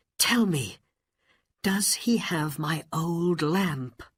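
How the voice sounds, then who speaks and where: Very slowly and in a high register, a man puts on a character voice. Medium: read story.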